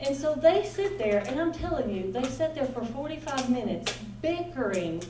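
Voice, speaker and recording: A loud woman with a Southern US accent talks at a moderate pace, her high pitch making very wide swings. Noticeable background noise and audible room echo fill the recording. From US South, Nashville. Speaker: pastor's wife and ministry speaker. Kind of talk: conference talk. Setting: stage with audience. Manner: animated.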